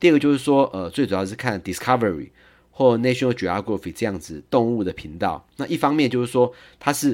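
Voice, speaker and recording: A man at medium pitch with lively intonation and a strong Taiwanese accent, in a very clean recording with a silent background. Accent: heavy Taiwanese accent in English. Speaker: lawyer sharing parenting experience. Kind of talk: podcast monologue. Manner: frequent fillers and hesitations.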